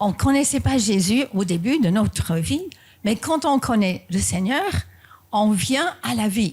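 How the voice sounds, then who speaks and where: Her voice somewhat breathy, a woman talks at a very slow pace and medium pitch with very wide pitch swings. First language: not French (speaking French). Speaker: pastor. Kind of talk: sermon. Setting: church.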